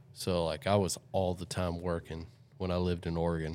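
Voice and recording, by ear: A man's very deep, low pitch on a very clean recording with a silent background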